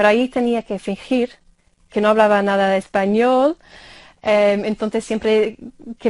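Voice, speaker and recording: A woman's fairly high voice at a moderate pace, with fairly even intonation and a quiet background. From Ireland. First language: English (speaking Spanish). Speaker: university lecturer of Spanish. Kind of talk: interview. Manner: halting, many fillers.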